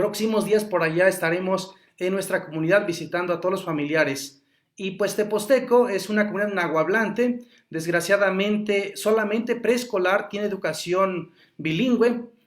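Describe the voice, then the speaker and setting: At a moderate pace, the speaker talks in a Mexican accent with ordinary pitch variation. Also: man, high pitch for a man. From Huasteca Veracruzana, Mexico. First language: Nahuatl (speaking Spanish). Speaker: Nahuatl language teacher. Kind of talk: interview conversation.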